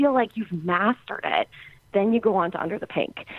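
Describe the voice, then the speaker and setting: Noticeable background noise sits behind this woman's voice. She speaks at a fairly quick pace with lively intonation. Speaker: podcast guest, music fan. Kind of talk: casual interview. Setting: remote call.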